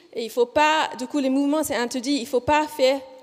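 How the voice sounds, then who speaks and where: A woman's high voice with a slight Australian accent and lively intonation. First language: English (speaking French). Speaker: physiotherapist researcher. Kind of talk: conference presentation. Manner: deliberately slow; hesitant, many fillers.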